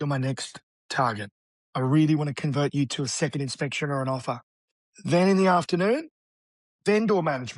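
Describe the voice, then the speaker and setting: A man with an Australian accent talks at a fairly quick clip in a fairly high voice for a man, his lively intonation and animated tone broken by long, frequent pauses, with dry, close sound, no echo and a quiet background. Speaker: real estate agent. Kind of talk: interview.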